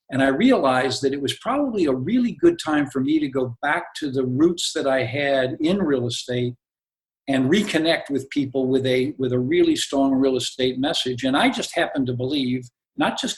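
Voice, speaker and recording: Pitch moves in an ordinary way here. There is a somewhat breathy quality to the voice. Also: man. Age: 70s. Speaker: real estate executive and author. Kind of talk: podcast interview.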